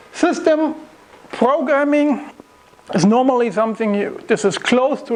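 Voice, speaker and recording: Background noise is noticeable in the recording. The talking proceeds at a moderate pace. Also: man. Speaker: software developer giving a tech talk. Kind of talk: lecture.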